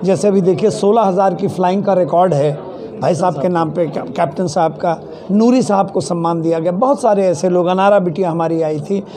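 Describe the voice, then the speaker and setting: A man's high-pitched voice at a moderate pace with ordinary pitch variation, plus audible room echo and noticeable background noise. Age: 70s. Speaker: award organization organizer. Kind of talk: interview at award event.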